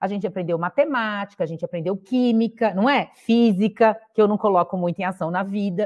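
A woman talks at a fairly quick pace with hardly any pauses and ordinary pitch variation over a quiet background. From interior of São Paulo state, Brazil (Sertãozinho); São Paulo state, Brazil. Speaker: mentoring platform co-founder, former executive; podcast guest. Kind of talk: podcast interview. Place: home room. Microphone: earbuds.

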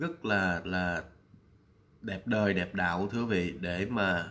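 With a bright, sharp tone, a man speaks at a fairly low pitch with ordinary pitch variation. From Vietnam. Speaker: vlogger. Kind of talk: vlog commentary. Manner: hesitant, many fillers. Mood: warm, respectful. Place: home room. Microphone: webcam.

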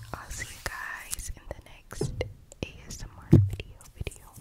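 A woman whispers at a moderate pace. She is soft-spoken. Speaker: ASMR creator. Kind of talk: ASMR outro, soft whispery chat. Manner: soft ASMR whisper sign-off. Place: home room. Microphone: studio mic.

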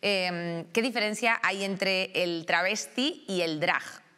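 The voice belongs to a woman. Her tone is bright and sharp. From Spain. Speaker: talk show host. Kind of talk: panel discussion. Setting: studio. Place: studio. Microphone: lapel.

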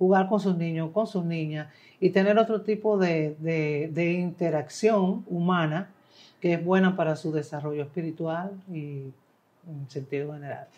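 Speaking fairly slowly, a woman with a Dominican accent has a dark, mellow tone. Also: ordinary pitch variation. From Dominican Republic. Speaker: singer-songwriter. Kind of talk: interview answer. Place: studio. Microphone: lapel.

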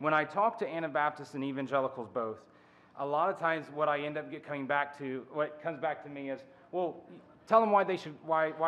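Ordinary pitch variation marks a man's fairly quick pace of speech. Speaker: conference speaker. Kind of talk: lecture. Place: hall. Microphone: podium.

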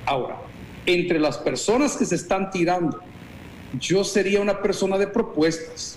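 Someone speaks at a moderate pace against light background noise, with audible room echo. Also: man. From El Salvador. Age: 50s. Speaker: pastor. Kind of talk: interview. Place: office. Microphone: video call.

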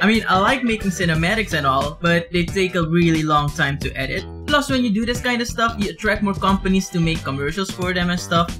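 Clear music plays in the background as a man speaks. His pace is fairly quick, with hardly any pauses. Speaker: vlogger. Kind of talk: casual vlog chat. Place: home room.

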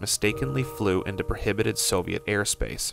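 Music plays in the background as a man talks at a fairly quick pace. The sound is dry, with no echo. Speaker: documentary narrator. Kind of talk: documentary narration.

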